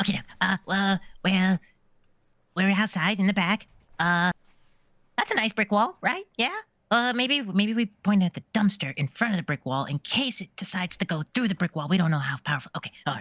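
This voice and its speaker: In a put-on character voice, a female-sounding speaker at medium pitch leaves long, frequent pauses. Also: fairly quick pace. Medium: actual play. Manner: hesitant, thinking aloud.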